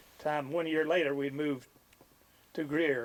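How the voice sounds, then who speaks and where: In an Ozarks accent, a man with a fairly high pitch speaks at a fairly slow pace. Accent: rural Ozarks Southern US. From Missouri Ozarks. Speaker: local resident interviewee. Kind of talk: interview reminiscence.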